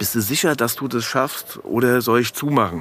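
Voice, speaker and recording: The man speaks at a moderate pace with ordinary pitch variation. Noticeable background noise runs underneath. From Frankfurt, Hesse. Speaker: kiosk owner. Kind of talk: casual chat.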